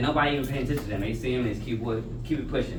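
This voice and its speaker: With music in the background and audible room echo, a man speaks at a medium pitch with fairly even intonation. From Los Angeles. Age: 30s. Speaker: guest speaker, former gang member. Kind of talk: motivational talk to students, Q&A. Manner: casual.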